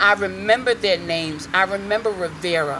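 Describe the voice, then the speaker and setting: Bright, sharp, animated tone from a woman at medium pitch, with ordinary pitch variation and vocal fry. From Hartford, Connecticut inner city. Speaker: reverend and community activist. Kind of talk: rally speech. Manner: loud.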